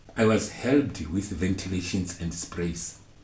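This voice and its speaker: Heard with audible room echo, a man with a fairly low pitch speaks very slowly in a somewhat breathy voice, with ordinary pitch variation. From South Africa, Mpumalanga. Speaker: storyteller sharing personal testimony. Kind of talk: testimony. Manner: halting.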